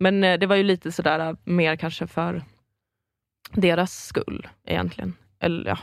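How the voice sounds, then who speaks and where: The voice has vocal fry and fairly even intonation, broken by long, frequent pauses. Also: woman, fairly low pitch for a woman, fairly slow pace. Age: 20s. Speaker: improv comedian. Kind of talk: casual chat.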